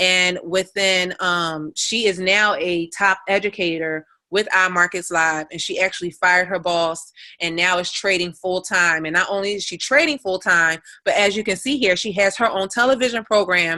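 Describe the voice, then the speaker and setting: At a moderate pace, this bright, sharp-toned voice moves through ordinary pitch variation. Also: woman. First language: Spanish. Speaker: forex trading educator. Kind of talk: live webinar tutorial. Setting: live online call. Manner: casual, with frequent fillers.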